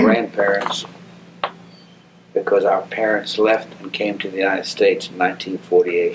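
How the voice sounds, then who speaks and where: Over noticeable background noise, a man talks at a moderate pace, his loudness swinging in big jumps. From Jerusalem and Ramallah, Palestine. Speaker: immigrant interviewee. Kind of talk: oral history interview.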